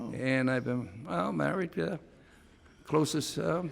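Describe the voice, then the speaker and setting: Vocal fry runs through a man's voice. He speaks at a fairly slow pace. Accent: American. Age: 80s+. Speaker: lawyer. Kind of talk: courtroom answer.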